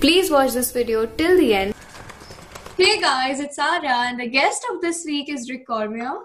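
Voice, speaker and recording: At a moderate pace, a woman with an Indian accent talks in a high pitch with lively intonation. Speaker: podcast host. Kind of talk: podcast intro.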